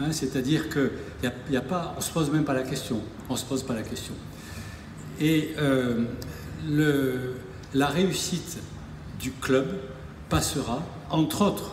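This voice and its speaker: Pausing long and often, a man with a fairly high pitch speaks at a fairly slow pace over noticeable background noise and audible room echo. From southern France, Narbonne. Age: 60s. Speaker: rugby club president. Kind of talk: public speech. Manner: hesitant, repetitive.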